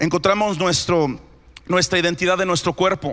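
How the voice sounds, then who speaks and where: In an animated tone, a man speaks at a fairly quick pace with a high pitch. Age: 30s. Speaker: pastor. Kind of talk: sermon. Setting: church.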